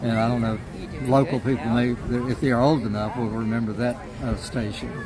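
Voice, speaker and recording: Crowd noise and audible room echo surround a man speaking at a fairly quick pace. His medium-pitched voice stays monotone and flat. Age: 80s+. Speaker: radio DJ. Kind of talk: casual interview. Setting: outdoors at a farmers market. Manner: halting, many fillers.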